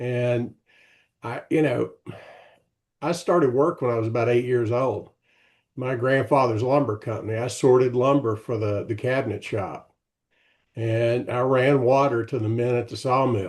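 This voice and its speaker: Against a quiet background, a man speaks at a medium pitch with fairly even intonation and long, frequent pauses. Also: moderate pace. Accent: Tennessee. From Tennessee. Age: 70s. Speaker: retired executive and author. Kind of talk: casual interview.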